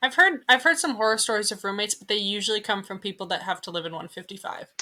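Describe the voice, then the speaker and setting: A woman at a very fast pace, medium pitch, bright, sharp tone, lively intonation and big swings in loudness. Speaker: podcast co-host, Antarctica worker. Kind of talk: casual chat.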